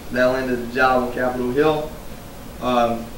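A speaker with an American accent and fairly even intonation. Light background noise and audible room echo are present. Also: man. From United States. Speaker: retired Marine and veterans advocate, public speaker. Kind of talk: live keynote speech to an audience. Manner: casual, conversational, humorous. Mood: earnest, reflective. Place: hall. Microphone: podium.

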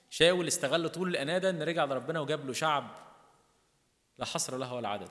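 Against a quiet background, a man with an Egyptian accent speaks fairly quickly with lively intonation. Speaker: priest. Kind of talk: sermon. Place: church. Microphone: podium.

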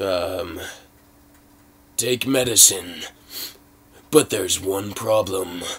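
A man puts on a raspy character voice with a very deep, low pitch, speaking at a very slow pace with ordinary pitch variation. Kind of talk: movie trailer parody.

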